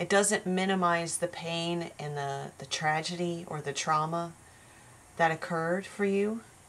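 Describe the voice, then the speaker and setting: Fairly even intonation at a fairly slow pace. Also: woman, fairly low pitch for a woman. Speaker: tarot reader. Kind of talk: spiritual tarot reading monologue. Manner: slow and careful.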